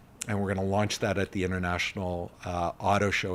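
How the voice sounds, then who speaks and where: A man with a Canadian accent speaks at a fairly low pitch with monotone, flat intonation. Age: 50s. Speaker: charity executive. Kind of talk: interview. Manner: hesitant fillers.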